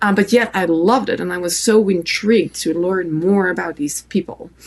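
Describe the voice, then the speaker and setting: With a French accent and some vocal fry, a woman speaks at a moderate pace with ordinary pitch variation. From France. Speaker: photographer and author. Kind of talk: interview answer.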